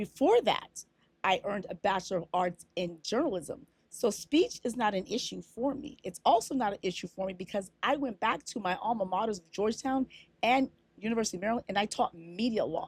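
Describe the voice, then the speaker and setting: The voice is somewhat breathy and moves at a fairly quick pace. The sound is dry and close, with no echo. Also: woman, fairly high pitch for a woman, ordinary pitch variation, big swings in loudness. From Africa. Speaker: lawyer and media law lecturer. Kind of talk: casual talk to camera, reply to a commenter. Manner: assertive, conversational.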